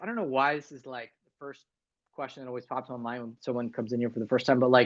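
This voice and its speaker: Against a quiet background, a man with an American accent talks at a medium pitch. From US East Coast, Northern Virginia. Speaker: livestream host, music journalist. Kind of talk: casual livestream chat. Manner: casual, many fillers.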